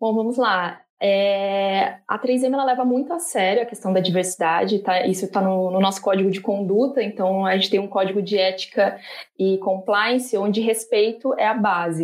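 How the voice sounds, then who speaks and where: An unremarkable speaking voice with fairly even intonation, a moderate pace, very even loudness and hardly any pauses. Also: woman. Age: 30s. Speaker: corporate diversity group leader. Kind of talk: panel discussion.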